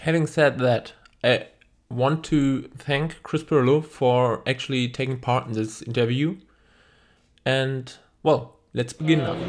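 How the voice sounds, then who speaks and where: In a very clean recording, silent background, a man with a non-native accent and medium pitch talks at a fairly slow pace with fairly even intonation and long, frequent pauses. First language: German. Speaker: YouTuber. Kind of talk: video introduction.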